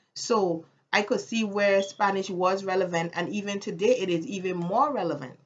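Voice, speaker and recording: A woman speaks with a Caribbean accent. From US Virgin Islands, Saint Thomas. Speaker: vlogger. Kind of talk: casual vlog monologue.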